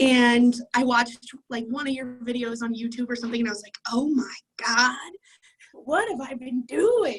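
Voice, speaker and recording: An American accent at a moderate pace, ordinary in pitch variation, with big swings in loudness. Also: woman, high pitch for a woman. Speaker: client sharing a success story. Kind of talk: interview testimony. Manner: casual, filler-heavy.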